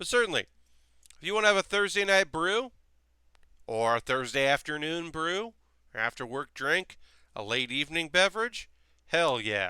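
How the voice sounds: Using a fairly high pitch, a man talks at a moderate pace with big pitch swings, a bright, sharp yet clear, smooth tone, and long, frequent pauses.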